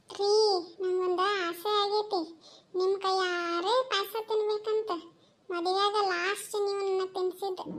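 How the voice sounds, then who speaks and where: Extremely high and cartoonish, a woman's character voice holds a monotone, flat intonation. She goes very slowly at a very even loudness. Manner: sharp, bossy village dialect.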